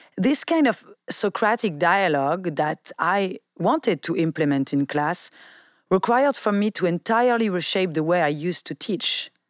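In a dry, close recording with no echo and a silent background, a woman talks at a moderate pace with lively intonation at a medium pitch in a plain, everyday voice. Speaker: podcast host, philosophy. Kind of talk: podcast discussion and interview.

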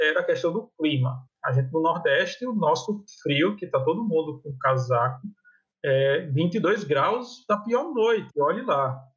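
In a northeastern Brazilian accent, a man speaks fairly slowly with lively intonation. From Brazil, Paraíba. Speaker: psychology professor. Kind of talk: casual chat.

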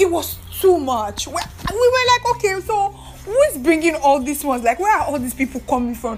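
A woman talks in a high pitch with an animated tone and very wide pitch swings. Noticeable background noise is present. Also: moderate pace. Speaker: podcast host and activist. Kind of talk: solo podcast monologue. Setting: recording alone in her room.

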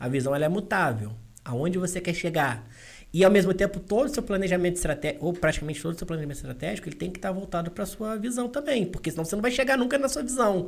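Very wide pitch swings from a man's high voice, delivered at a very fast pace. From Valença, Rio de Janeiro state, Brazil. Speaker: business consultant. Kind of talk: casual chat.

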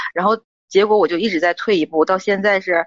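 A woman rushes along at a very fast pace, her medium pitch showing ordinary variation. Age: 30s. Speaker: caller seeking relationship advice. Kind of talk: call-in advice talk. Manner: halting.

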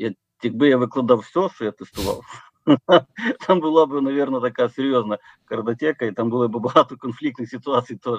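A man at a medium pitch and a fairly quick pace, with ordinary pitch variation and a dry, close sound with no echo. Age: 40s. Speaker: company founder. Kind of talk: interview. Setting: remote call. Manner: halting.

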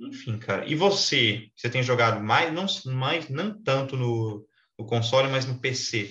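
Here is a man with an unremarkable speaking voice and a medium pitch. He talks at a fairly slow pace with lively intonation. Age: 20s. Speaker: podcast host. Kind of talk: casual chat.

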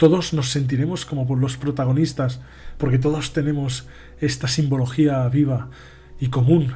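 There is audible room echo around a man's medium-pitched voice. He speaks at a moderate pace with monotone, flat intonation. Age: 20s. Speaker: podcast host on spirituality. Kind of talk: live-stream monologue. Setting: live stream.

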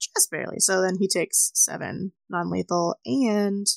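A woman speaks at a fairly slow pace with a medium pitch and a plain, everyday voice. The sound is dry and close, with no echo. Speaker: tabletop player. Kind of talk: tabletop roleplaying game session.

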